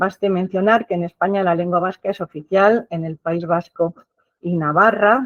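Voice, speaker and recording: This woman has an unremarkable speaking voice at a medium pitch. She talks at a moderate pace with fairly even intonation. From Basque Country, San Sebastián. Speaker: professor. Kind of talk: lecture. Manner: formal.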